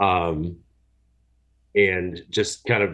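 A man speaks against a quiet background. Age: 30s. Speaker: single dad caller. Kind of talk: advice call. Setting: phone call.

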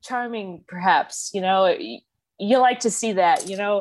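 A woman is talking. Her pace is moderate. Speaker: caller seeking advice. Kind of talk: casual conversation, personal story. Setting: video call.

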